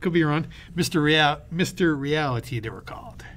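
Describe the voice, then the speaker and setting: A man talks with fairly even intonation in a normal speaking voice. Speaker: podcast co-host. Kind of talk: casual chat.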